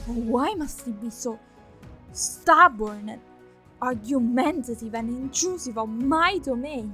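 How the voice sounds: In a put-on character voice, a woman speaks slowly at a fairly high pitch with lively intonation, a bright, sharp tone and a husky, rough edge, over faint music in the background.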